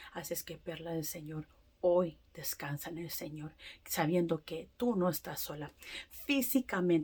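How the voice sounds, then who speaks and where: A woman with a non-native accent speaks at a fairly slow pace in a fairly low, dark, mellow and somewhat breathy voice. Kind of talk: testimony. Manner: halting; emphatic.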